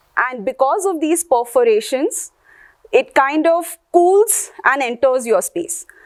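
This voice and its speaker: Very slowly, a woman talks in a high voice with very wide pitch swings. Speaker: workshop lecturer. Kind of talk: lecture.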